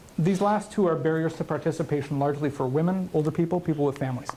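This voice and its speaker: A fairly quick pace with noticeable background noise. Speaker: conference speaker, community manager. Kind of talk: conference talk. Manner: fast.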